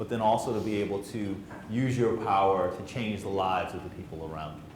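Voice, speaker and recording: A man with an American accent and a fairly low pitch talks at a fairly quick pace, with audible room echo and noticeable background noise. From central New Jersey. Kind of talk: spoken word poetry performance; motivational talk to youth. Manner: fast; rhythmic, emphatic delivery.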